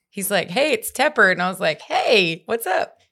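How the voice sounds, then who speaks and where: In an East Texas accent, a woman with a medium pitch speaks at a moderate pace with lively intonation on a very clean recording with a silent background. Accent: East Texas Southern US. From East Texas, Longview. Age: 20s. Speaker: country singer-songwriter and radio host. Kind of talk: casual chat. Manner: animated.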